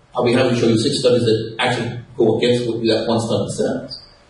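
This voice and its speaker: Speech at a very fast pace, echo in the room audible and background noise noticeable. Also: man. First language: Castilian Spanish. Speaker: radio host, panelist. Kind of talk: panel debate. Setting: live event with audience.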